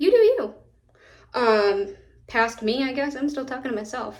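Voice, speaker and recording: Speaking with an American accent, a woman uses a high pitch. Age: 20s. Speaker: beauty content creator. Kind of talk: casual makeup vlog talk. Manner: chatty, rambling with self-corrections.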